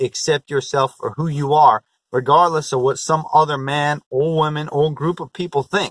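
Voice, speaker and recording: A plain, everyday voice from a man, fairly high in pitch, at a moderate pace, with a dry, close sound and no echo. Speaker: motivational vlogger. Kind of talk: motivational vlog talk.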